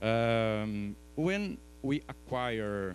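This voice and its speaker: A man with a non-native accent, fairly low in pitch, with lively intonation. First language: Portuguese. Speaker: professor. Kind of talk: conference talk. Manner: halting, with fillers and restarts.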